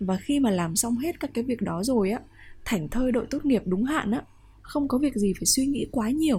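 A woman's fairly high, somewhat breathy voice with a dark, mellow tone, lively intonation and a fairly quick pace, on a very clean recording with a silent background. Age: 20s. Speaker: podcast host. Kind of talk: personal monologue podcast.

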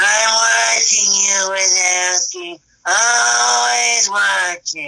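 A raspy, menacing put-on character voice, very slow, with very wide pitch swings. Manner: slow, menacing, watching.

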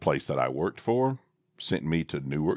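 In a Southern US accent, the speaker is heard in a very clean recording with a silent background and a dry, close sound with no echo. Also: man. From US South. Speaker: father co-host, podcaster. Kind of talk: casual chat. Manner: jokey, wordy.

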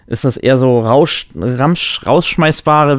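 This man has a normal speaking voice with a medium pitch. He talks at a moderate pace. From Germany. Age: 30s. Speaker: podcast co-host. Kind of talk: casual chat.

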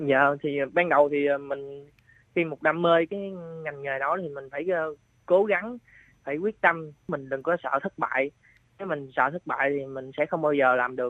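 Moderate pace and long, frequent pauses from a man whose pitch is fairly high for a man, with ordinary pitch variation. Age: 20s. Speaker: mushroom farmer. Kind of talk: interview. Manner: halting.

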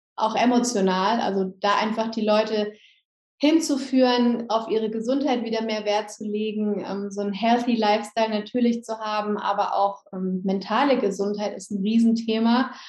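A woman's fairly high voice, moderate in pace, with fairly even intonation. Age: 30s. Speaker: yoga teacher and essential oils seller. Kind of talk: interview.

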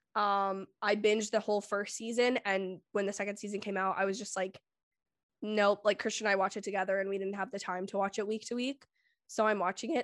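A woman's medium-pitched, normal speaking voice at a fairly quick pace, dry and close with no echo against a quiet background. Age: 20s. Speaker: film YouTuber. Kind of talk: casual chat.

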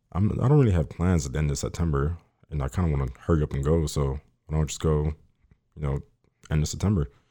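Very fast and very deep, a man's dark, mellow voice with an American accent shows ordinary pitch variation on a very clean recording with a silent background. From Miami, Florida. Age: young. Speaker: car enthusiast. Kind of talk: casual interview chat. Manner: shy, reserved.

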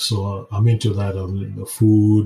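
This man speaks with a dark, mellow tone, somewhat breathy and fairly low in pitch. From Kenya. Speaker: podcast host, health professional. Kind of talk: solo podcast monologue.

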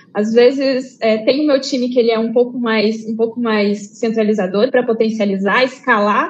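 This woman has an unremarkable speaking voice, pitched fairly high. She keeps a moderate pace with ordinary pitch variation. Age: 30s. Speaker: research team lead. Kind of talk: online conference panel discussion. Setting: live online event.

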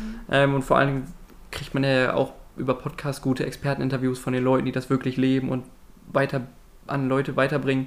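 A man with a normal speaking voice, medium pitch, and a fairly quick pace. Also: fairly even intonation. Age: 20s. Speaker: university student and podcast host. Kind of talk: casual chat.

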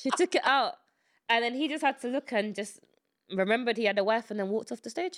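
On a very clean recording with a silent background, a woman speaks at a high pitch and fairly quick pace with lively intonation. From England, UK. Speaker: podcast co-host. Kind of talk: casual chat. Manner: laughs often.

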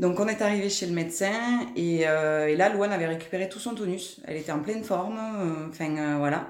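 A woman speaks at a moderate pace with fairly low pitch and ordinary pitch variation. Audible room echo surrounds her voice. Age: 30s. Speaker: mother of a diabetic child. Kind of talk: testimony. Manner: hesitant, many filler sounds.

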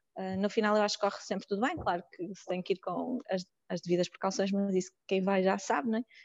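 Her pace is fairly quick. The woman's intonation stays fairly even. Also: medium pitch for a woman. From Porto, northern Portugal. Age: 30s. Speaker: psychologist and volunteer. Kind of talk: casual interview. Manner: hesitant, with filler sounds.

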